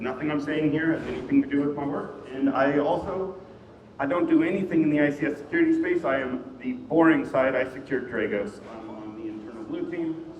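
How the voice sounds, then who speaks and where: Against noticeable background noise and audible room echo, a man with a fairly high pitch speaks at a fairly quick pace with ordinary pitch variation. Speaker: security engineer, conference speaker. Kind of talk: conference talk. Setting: stage with audience. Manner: projecting. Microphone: quiet mic.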